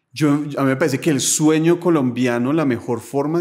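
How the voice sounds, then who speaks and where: A man speaks against a quiet background. His pitch variation is ordinary. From Colombia, Bogotá. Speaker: philosopher; podcast guest. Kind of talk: casual interview conversation. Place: home room. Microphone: studio mic.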